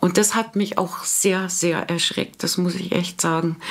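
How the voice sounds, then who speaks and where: This is an ordinary speaking voice. It moves at a fairly slow pace with fairly even intonation. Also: woman. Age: 50s. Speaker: office worker sharing vaccine injury story. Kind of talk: personal testimony.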